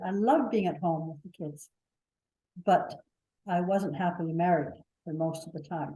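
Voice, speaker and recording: With a Canadian accent, a woman speaks at a moderate pace and medium pitch. Her tone is dark and mellow and somewhat breathy. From Canada. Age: 80s+. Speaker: workshop participant. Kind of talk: personal storytelling. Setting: hybrid workshop. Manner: halting.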